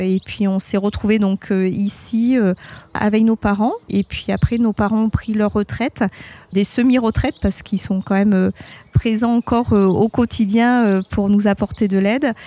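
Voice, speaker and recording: Her voice is an ordinary speaking voice, and this woman's pitch is fairly high. The loudness stays very even, with a dry, close sound with no echo. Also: fairly slow pace. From Bordeaux region, France. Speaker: winemaker. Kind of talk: testimony.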